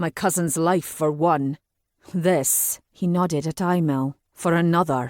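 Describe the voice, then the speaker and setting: Someone growls in a put-on character voice. The pace is fairly slow and the pitch sits in the middle. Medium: read story. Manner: cold.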